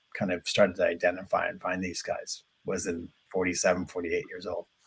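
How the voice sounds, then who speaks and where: With an American accent, a man talks at a fairly quick pace in a somewhat breathy voice. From Ireland, Dublin. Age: 50s. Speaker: interviewee in user research. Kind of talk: interview. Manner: halting, many fillers and restarts.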